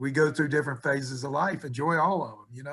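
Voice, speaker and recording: This man speaks with an Appalachian accent. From West Virginia. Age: 70s. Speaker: college basketball coach. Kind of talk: interview.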